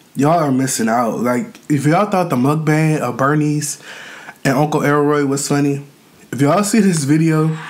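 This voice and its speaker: This is a man speaking at a moderate pace. His pitch variation is ordinary. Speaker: mukbang youtuber. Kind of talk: casual vlog chat. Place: home room.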